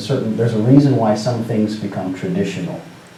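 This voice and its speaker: A man with a West Coast US accent speaks at medium pitch and a moderate pace, with fairly even intonation. There is noticeable background noise and audible room echo. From US Pacific Northwest, Seattle. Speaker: storyteller. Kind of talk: talk to students. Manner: casual, conversational with fillers.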